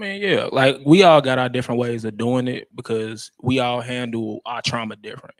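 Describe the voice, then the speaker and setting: A relaxed man's voice with an American accent, medium in pitch, lively in intonation, at a moderate pace with hardly any pauses and big swings in loudness. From Chicago, Englewood. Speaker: rapper and musician. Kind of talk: interview. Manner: casual, relaxed.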